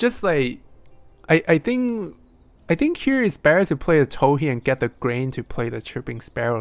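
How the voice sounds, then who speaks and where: Someone with a non-native accent speaks at a fairly slow pace on a very clean recording with a silent background. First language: not English. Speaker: board game stream host and commentator. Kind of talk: live game commentary.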